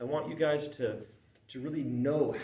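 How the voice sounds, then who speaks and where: Audible room echo surrounds a man speaking at a medium pitch in a dark, mellow tone. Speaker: middle school English teacher. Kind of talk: recorded remote lesson. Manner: loud; animated, boisterous.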